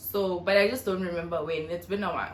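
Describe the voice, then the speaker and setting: Fairly quick speech from a woman, noticeable background noise and audible echo of the room around her. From South Africa, North West. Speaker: YouTuber. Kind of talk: casual vlog Q&A.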